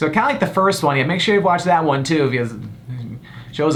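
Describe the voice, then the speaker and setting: Noticeable background noise sits under the recording. His intonation is lively, and the speaker is a man. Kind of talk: casual talk to camera.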